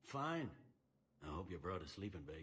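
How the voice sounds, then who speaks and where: At a moderate pace, a man puts on a character voice that is raspy and very deep and low in pitch. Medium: video game. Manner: pushy, assertive.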